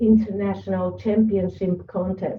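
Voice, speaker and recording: A woman speaks with a non-native accent. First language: not English. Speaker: public speaking club member. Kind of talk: prepared presentation. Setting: video call.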